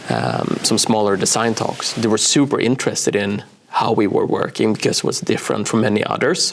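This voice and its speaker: With a Swedish accent, a man talks at a fairly quick pace and very even loudness over noticeable background noise. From Sweden, small coastal town. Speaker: brand designer and author. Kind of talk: interview. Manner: hesitant, many fillers.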